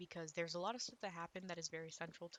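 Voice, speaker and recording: A soft-spoken woman talks in a fairly low pitch. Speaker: gaming YouTuber and author. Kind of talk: casual gameplay commentary. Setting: recording at home with others in the house. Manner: quiet, soft-spoken; rambling, hesitant with fillers.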